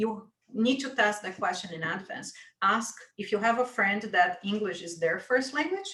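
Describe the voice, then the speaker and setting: A woman with a non-native accent and a fairly high pitch speaks in a bright, sharp tone at a moderate pace, with ordinary pitch variation and long, frequent pauses. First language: not English. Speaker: webinar co-host. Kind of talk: panel discussion.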